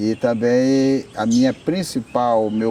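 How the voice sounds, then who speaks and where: Very slow pace over noticeable background noise. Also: man. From Brazil, Acre (Amazon rubber region). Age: 60s. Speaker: rubber tapper union leader. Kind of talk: interview testimony.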